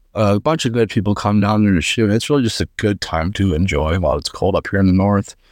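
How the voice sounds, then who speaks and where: A man with an American accent talks at a very fast pace with hardly any pauses, using a fairly low pitch and ordinary pitch variation. His loudness is very even, and the recording is very clean with a silent background. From northeastern Pennsylvania. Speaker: competitive trapshooter. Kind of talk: casual interview. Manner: hesitant, many fillers.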